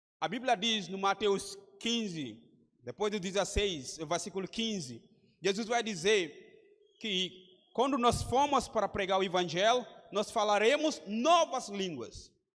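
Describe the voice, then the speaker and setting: Speaking at a fairly slow pace, a man with a West African accent uses a high pitch and lively intonation. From Gambia. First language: Mandinka or another Gambian language (speaking Portuguese). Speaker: missionary preacher. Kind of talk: sermon. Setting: church conference with congregation.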